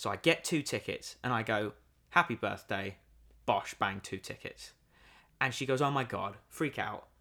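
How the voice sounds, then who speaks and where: With a British accent and a bright, sharp tone, a man speaks animatedly at a moderate pace, using ordinary pitch variation and long, frequent pauses, in a very clean recording with a silent background. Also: medium pitch for a man. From Britain. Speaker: podcast co-host. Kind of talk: casual chat. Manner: animated, joking.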